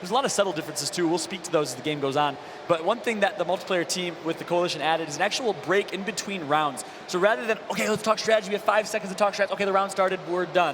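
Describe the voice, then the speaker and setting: A man speaks very fast, his pitch high with ordinary variation. Noticeable background noise runs under the recording. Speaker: esports caster, former pro gamer. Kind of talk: live commentary. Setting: stage with audience. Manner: animated.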